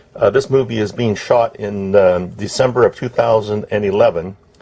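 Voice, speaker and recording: Noticeable background noise accompanies speech at a moderate pace with ordinary pitch variation. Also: man. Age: 60s. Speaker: ham radio hobbyist. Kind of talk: tutorial. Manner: halting.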